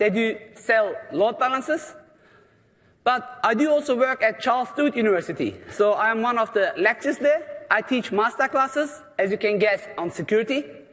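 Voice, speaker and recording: This man speaks with a non-native accent at an extremely high pitch and a moderate pace. His tone is animated and his intonation lively. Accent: noticeable foreign. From Germany, Turkish parents. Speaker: security lecturer. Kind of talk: conference presentation. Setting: stage with audience.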